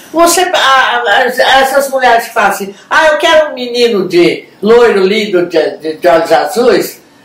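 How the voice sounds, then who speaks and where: With audible room echo, a woman speaks at a fairly slow pace with hardly any pauses and very wide pitch swings. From Brazil. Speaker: show co-host. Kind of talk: TV talk show, frank opinion. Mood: lively, humorous. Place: home room.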